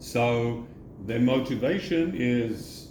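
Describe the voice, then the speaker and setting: There is audible room echo around a man's voice. He sounds somewhat breathy at a medium pitch. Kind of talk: casual chat.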